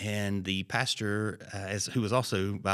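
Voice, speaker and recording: This man has a Southern US accent. His pitch is fairly low. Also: very clean recording, silent background. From Alabama. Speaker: pastor. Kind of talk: casual chat.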